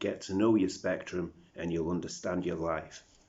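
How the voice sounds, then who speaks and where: In a British accent, the speaker goes at a moderate pace with ordinary pitch variation. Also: man. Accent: British accent developed over South African. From South Africa. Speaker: vlogger. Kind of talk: video diary monologue. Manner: rambling, self-talking.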